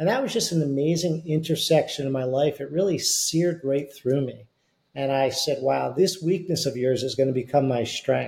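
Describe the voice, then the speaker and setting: A somewhat breathy voice with an American accent. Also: man. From US Northeast. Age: 60s. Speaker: beverage company CEO and author. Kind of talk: casual interview chat.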